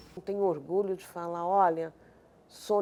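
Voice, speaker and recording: Her voice sits at a medium pitch with a dark, mellow tone. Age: 50s. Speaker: community social worker. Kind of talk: documentary interview.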